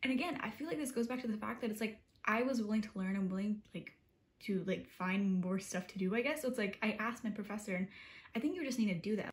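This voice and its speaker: This woman talks at a very fast pace. Her medium-pitched voice is somewhat breathy. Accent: American. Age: 20s. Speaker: college student vlogger. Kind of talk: casual vlog talk. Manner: animated.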